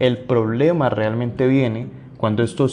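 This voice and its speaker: Here is a man with a dark, mellow tone. He speaks at a fairly slow pace with ordinary pitch variation. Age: 20s. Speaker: podcast host, lawyer and entrepreneur. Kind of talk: solo podcast monologue on anxiety.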